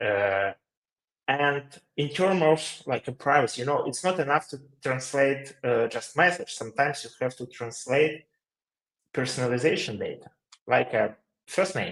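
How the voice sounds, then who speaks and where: A man speaks at a moderate pace with a Ukrainian accent. His voice sits fairly high for a man, with ordinary pitch variation. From Ukraine. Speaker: company CEO, webinar co-host. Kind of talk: webinar Q&A. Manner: halting, many fillers.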